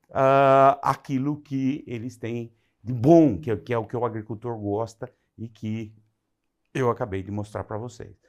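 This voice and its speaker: A man speaks at medium pitch with ordinary pitch variation, in an unremarkable speaking voice. The recording is very clean with a silent background. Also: fairly slow pace. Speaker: agronomy lecturer. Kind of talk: lecture.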